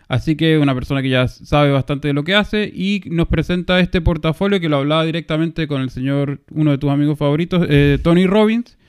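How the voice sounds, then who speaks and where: In a plain, everyday voice, a man talks at a fairly quick pace with hardly any pauses, a fairly high pitch, and ordinary pitch variation, in a dry, close sound with no echo. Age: 30s. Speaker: finance podcast co-host. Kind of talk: casual chat.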